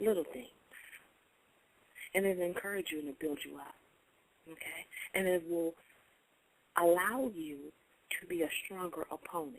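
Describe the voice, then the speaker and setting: Woman's fairly low-pitched voice with ordinary pitch variation, big swings in loudness, and long, frequent pauses. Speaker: internet radio host. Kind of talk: inspirational radio talk. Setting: online radio show. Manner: fast.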